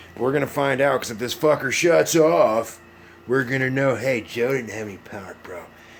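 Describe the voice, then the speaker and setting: A man with a Southern US accent talks at a moderate pace with ordinary pitch variation, and there is noticeable background noise. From US South. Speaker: YouTuber live streamer. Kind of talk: casual live stream chat.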